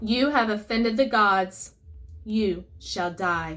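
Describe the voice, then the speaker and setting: A woman's put-on character voice at medium pitch, fairly slow in pace, in a very clean recording with a silent background. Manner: threatening.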